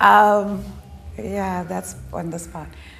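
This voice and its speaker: Audible room echo surrounds a woman as she speaks. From Ghana. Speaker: development specialist. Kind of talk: interview. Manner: conversational, with fillers.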